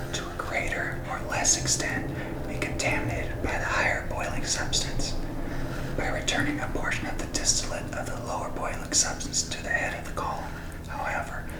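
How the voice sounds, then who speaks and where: Someone whispers at a fairly quick pace with noticeable background noise. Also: man. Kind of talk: ASMR reading for sleep. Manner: whispered, soft.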